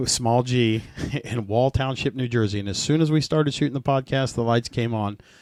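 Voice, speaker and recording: This man has a normal speaking voice, medium in pitch, delivered at a fairly quick pace with fairly even intonation. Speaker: podcast host. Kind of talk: podcast intro.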